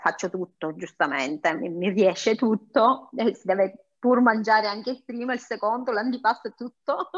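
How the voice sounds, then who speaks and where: This woman's voice sits fairly high in pitch, with lively intonation. She has an ordinary speaking voice. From Sicily. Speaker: home cook and food blogger. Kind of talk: interview.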